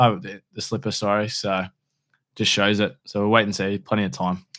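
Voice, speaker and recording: A man with an Australian accent speaks at a fairly quick pace and a fairly low pitch, his intonation monotone and flat. The recording is very clean, with a silent background. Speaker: horse racing podcast co-host. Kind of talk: casual chat. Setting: studio.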